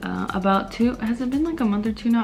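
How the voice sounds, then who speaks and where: Noticeable background noise runs under the clip. A woman speaks softly at a fairly quick pace. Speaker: beauty YouTuber. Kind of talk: makeup tutorial. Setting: home video under ring light. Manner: soft-spoken.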